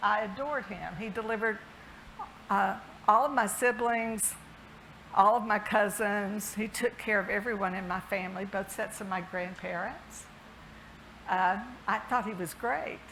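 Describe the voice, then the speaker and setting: With a Southern US accent, the speaker talks at a moderate pace with fairly even intonation and long, frequent pauses. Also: woman, medium pitch for a woman. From US South, Alabama. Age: 60s. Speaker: health system CEO. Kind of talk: keynote speech.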